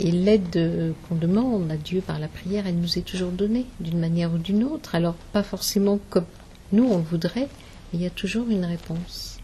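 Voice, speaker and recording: A woman's mid-range voice moves at a moderate pace, its pitch shifting in an ordinary way. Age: 60s. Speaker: spiritist medium. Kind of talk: interview. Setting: symposium. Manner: hesitant, many fillers.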